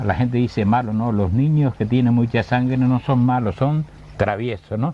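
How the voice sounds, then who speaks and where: Against noticeable background noise, a man speaks at a medium pitch and a moderate pace, with ordinary pitch variation and very even loudness. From Canary Islands, Gran Canaria (Agüimes). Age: 70s. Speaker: retired teacher of language and literature. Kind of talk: interview.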